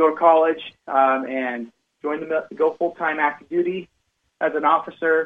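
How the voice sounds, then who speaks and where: A man talks in a plain, everyday voice, fairly high in pitch, with ordinary pitch variation. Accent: American. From northern Utah, Cache Valley. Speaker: financial advisor. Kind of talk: radio interview.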